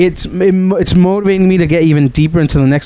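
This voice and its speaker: Noticeable background noise sits behind a man talking at a very fast pace in an animated tone. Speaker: podcast host. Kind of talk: casual chat. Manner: halting.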